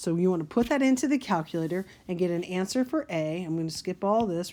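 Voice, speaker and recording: Her tone is dark and mellow. The woman talks at a moderate pace. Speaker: math teacher. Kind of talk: tutorial.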